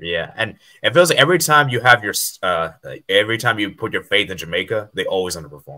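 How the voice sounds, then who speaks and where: A man with an American accent, fairly low-pitched, bright and sharp in tone, with very wide pitch swings at a very fast pace. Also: quiet background. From USA. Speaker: football YouTuber. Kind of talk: casual chat. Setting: video call. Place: home room. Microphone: headset.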